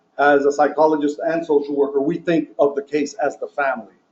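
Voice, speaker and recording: This man's voice sits fairly high in pitch, with ordinary pitch variation. He speaks at a moderate pace. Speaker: social work professor and expert witness. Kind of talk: training lecture. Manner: loud; halting, many fillers.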